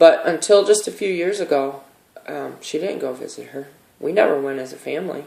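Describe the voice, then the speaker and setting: A man talks at a fairly quick pace. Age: 50s. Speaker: vlogger sharing personal experience. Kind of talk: personal testimony monologue. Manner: hesitant, with many fillers.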